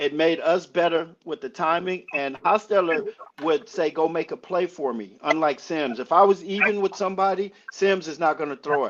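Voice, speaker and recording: A man with an American accent talks at a moderate pace in a high pitch, with an animated tone and ordinary pitch variation. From Los Angeles. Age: 60s. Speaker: former pro football player. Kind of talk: casual interview.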